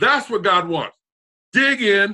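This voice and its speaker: A man's raised, projected voice, bright and sharp in tone, animated, with lively intonation at a moderate pace. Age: 60s. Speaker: talk show host. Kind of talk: casual chat.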